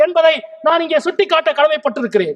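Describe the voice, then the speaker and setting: This is a man speaking. His pitch variation is ordinary. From Madurai, Tamil Nadu, India. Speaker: Member of Parliament. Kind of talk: parliamentary speech, political debate. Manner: fiery, forceful, rhetorical.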